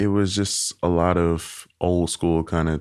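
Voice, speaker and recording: A man speaks with an American accent at a very deep, low pitch. The recording is very clean, with a silent background. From US South, Arkansas (Helena/West Helena, Little Rock). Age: 20s. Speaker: interview guest. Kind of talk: interview.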